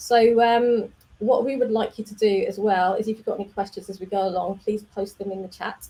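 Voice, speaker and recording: A woman with an English accent speaks fairly quickly at a fairly high pitch, somewhat breathy. Her tone is dark and mellow, and her intonation is monotone and flat. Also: big swings in loudness. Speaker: developer community manager, stream host. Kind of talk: casual live stream. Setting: live video stream.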